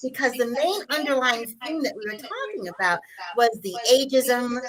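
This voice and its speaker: Projecting her voice at a high pitch, a woman talks at a moderate pace with very wide pitch swings against noticeable background noise. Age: 60s. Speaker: talk show co-host, wellness coach. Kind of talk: casual panel chat on a livestream.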